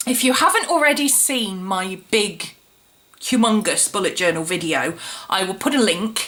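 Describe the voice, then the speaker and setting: A woman at medium pitch with lively intonation and a moderate pace, over noticeable background noise. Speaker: planner vlogger. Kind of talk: casual tutorial vlog. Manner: chatty, with fillers.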